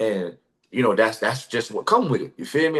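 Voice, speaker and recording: This man talks at a fairly quick pace with vocal fry in his voice. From US South, Orlando, Florida. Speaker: former college football player. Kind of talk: casual interview chat. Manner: casual, repetitive filler phrases.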